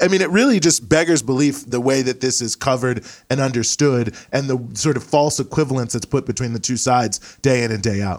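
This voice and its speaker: A man with an American accent speaks in an unremarkable speaking voice at a medium pitch, with ordinary pitch variation. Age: 30s. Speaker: author and activist. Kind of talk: political discussion.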